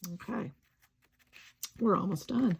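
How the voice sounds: A woman puts on a hoarse character voice at medium pitch.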